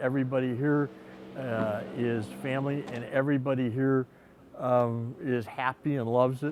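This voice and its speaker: A man speaks at medium pitch and a moderate pace, with monotone, flat intonation. Noticeable background noise runs underneath. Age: 70s. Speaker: visiting angler. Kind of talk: interview.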